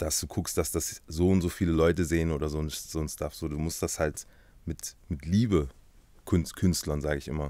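A man speaks with a very deep, low pitch and a dark, mellow tone. The sound is dry, with no echo. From Halle (Saale), Germany. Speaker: tattoo artist, YouTuber, musician. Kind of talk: casual interview chat. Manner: casual, slangy. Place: studio. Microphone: studio mic.

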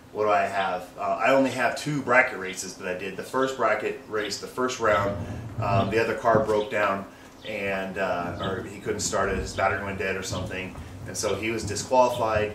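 A man's fairly low-pitched voice at a moderate pace, with noticeable background noise. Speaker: car enthusiast vlogger. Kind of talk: casual vlog chat. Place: street. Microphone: camera far.

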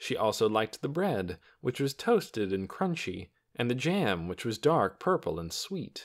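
What you hear is an unforced reading voice. That is the voice in this clip.

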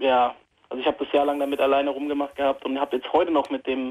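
A man talks at a very fast pace. His pitch is fairly high and his intonation monotone and flat. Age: 20s. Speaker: caller with anxiety. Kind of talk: phone call-in conversation. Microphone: phone line.

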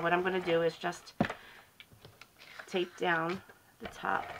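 Someone talks at a moderate pace with noticeable background noise. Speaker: crafting tutorial host, card-making product consultant. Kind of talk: tutorial. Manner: casual, hesitant with fillers.

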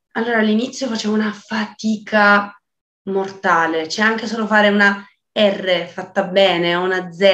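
A woman speaks in a bright, sharp tone with monotone, flat intonation over a quiet background. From Calabria, southern Italy. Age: 20s. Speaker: singer-songwriter, voice student. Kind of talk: casual interview chat. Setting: video call. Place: home room. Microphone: video call.

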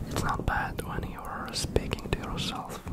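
A man whispering in a gentle tone at a fairly slow pace over loud background noise. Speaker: ASMR creator. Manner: gentle reassuring whisper. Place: home room. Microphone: studio mic.

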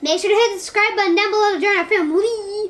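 A woman does a squeaky, put-on character voice at an extremely high pitch. She talks at a very fast pace with fairly even intonation. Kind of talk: promotional, YouTube-style sign-off. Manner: very fast, rapid.

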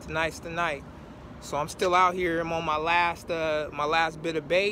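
A man speaks at a fairly slow pace in a high voice. The sound is dry with no echo, over light background noise. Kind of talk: casual vlog chat. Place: waterside. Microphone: phone near.

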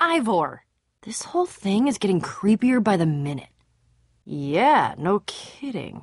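A woman uses a put-on character voice at a medium pitch with big pitch swings. She speaks at a slow pace with a slightly husky edge.

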